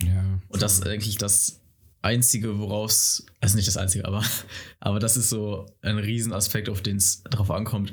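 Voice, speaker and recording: A man with a fairly low, somewhat breathy voice speaks at a moderate pace in a monotone, flat intonation. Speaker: guest. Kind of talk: casual chat. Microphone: too far from the mic.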